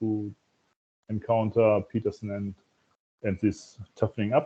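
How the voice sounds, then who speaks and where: Speaking at a fairly slow pace, a man with a German accent uses a medium pitch. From Germany. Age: 50s. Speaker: festival participant, engineer. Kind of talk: casual group video call introduction. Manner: halting. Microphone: echo.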